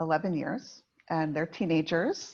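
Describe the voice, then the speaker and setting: Over a quiet background, a woman speaks at a fairly low pitch with ordinary pitch variation. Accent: American. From United States. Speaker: executive coach. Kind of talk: podcast conversation.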